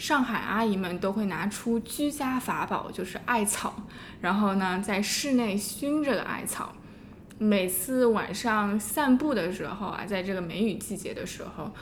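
A woman of medium pitch at a fairly slow pace, with audible room echo and noticeable background noise. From Shanghai, China. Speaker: podcast co-host. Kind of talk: scripted narration; casual interview.

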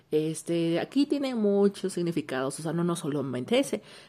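Noticeable background noise runs under a woman speaking with a fairly low pitch. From Mexico. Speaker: listener sending voice messages. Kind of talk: casual chat.

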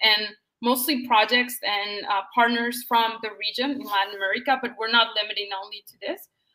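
A bright, sharp tone comes through at a moderate pace. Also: woman. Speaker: entrepreneur and investor. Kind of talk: interview. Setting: video call. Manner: enthusiastic.

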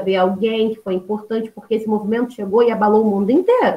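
This woman talks at a fairly quick pace with a fairly high pitch in a normal speaking voice. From Baixada Fluminense, Rio de Janeiro, Brazil. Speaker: history teacher. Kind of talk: podcast interview.

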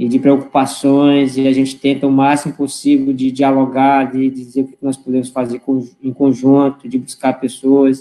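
At a moderate pace, a man with a medium pitch talks in monotone, flat intonation with big swings in loudness. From Roraima, northern Brazil. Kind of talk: online panel discussion. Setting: online live stream.

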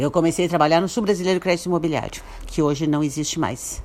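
With normal rises and falls, a woman talks in a very deep, low register. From Brazil, Santo Antônio da Patrulha, Rio Grande do Sul. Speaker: businesswoman and writer. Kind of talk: radio interview.

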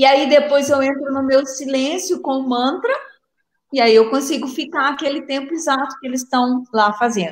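This woman speaks with a Minas Gerais accent at a high pitch. Her pace is moderate and her pitch varies in an ordinary way. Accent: Minas Gerais Brazilian Portuguese. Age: 60s. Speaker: psychiatrist and meditation author. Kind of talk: live interview. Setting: live video stream.

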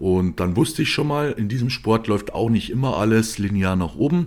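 With lively intonation and a plain, everyday voice, a man speaks at a moderate pace and a fairly low pitch. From Bavaria, Germany. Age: 20s. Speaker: podcast host, professional bodybuilder. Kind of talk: solo monologue podcast.

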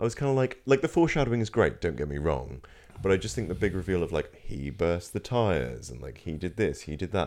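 A man with a Norfolk accent talks at a very fast pace in a very deep, low pitch. His voice has vocal fry and very wide pitch swings. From Norfolk, England. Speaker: film and TV review podcast co-host. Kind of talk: casual chat.

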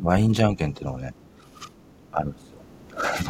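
A man talks in a relaxed tone over noticeable background noise. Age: 40s. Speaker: podcast host. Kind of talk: casual monologue. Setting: home storage room studio. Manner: relaxed, laughing.

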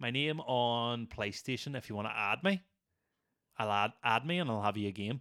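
Moderate-paced speech from a man with a Northern Irish accent, medium pitch and ordinary pitch variation. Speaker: podcast host. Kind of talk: casual chat.

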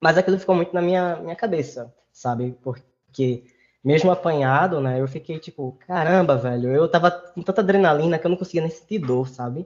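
A fairly high-pitched man with a plain, everyday voice, at a fairly quick pace with ordinary pitch variation. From Recife, Brazil. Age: 20s. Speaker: master's student. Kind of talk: casual interview conversation. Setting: video call.

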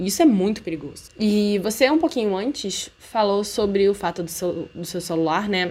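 With an ordinary speaking voice, a woman talks at a moderate pace and a medium pitch. Her intonation is lively, and she hardly pauses at all. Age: 20s. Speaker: podcast host, university student. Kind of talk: casual chat.

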